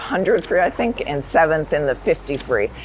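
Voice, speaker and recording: A woman with a very deep, low pitch speaks against noticeable background noise. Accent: American. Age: 60s. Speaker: retired nurse and masters swimmer. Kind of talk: interview testimony.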